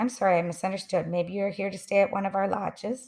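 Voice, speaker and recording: A put-on character voice, female-sounding and raspy, at a middle pitch and a very fast pace. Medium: read story. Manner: polite, helpful.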